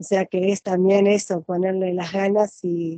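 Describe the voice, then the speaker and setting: A woman with a Rioplatense accent speaks at a fairly slow pace in a dark, mellow tone, recorded with a dry, close sound and no echo. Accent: Argentine Spanish (rioplatense). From Argentina. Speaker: nurse and interviewer. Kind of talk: interview. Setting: video call. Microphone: unstable Wi-Fi connection.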